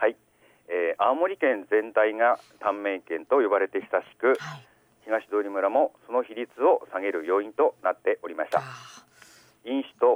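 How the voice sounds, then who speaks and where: In an unremarkable speaking voice of medium pitch, a man talks at a fairly slow pace with lively intonation and big swings in loudness. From Aomori, Shimokita (Higashidori). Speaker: village health official. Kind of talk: radio interview. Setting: phone call.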